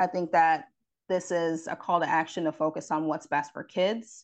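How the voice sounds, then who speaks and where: A normal speaking voice with an American accent, at a moderate pace and with fairly even intonation. The background is quiet. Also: woman. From upstate New York, Rochester. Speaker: parent advocacy director. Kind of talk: radio interview.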